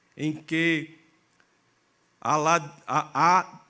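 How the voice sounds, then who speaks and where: In a northeastern Brazilian accent, a man speaks with a bright, sharp tone and fairly high pitch on a very clean recording with a silent background. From Brazil, Northeast (Catingueira, Paraíba). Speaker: pastor. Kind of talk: sermon. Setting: church.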